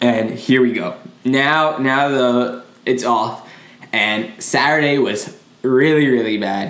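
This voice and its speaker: A man talks at a very slow pace and a medium pitch. Noticeable background noise and audible room echo fill the recording. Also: ordinary pitch variation. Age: 20s. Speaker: podcast co-host. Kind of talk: casual chat. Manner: animated.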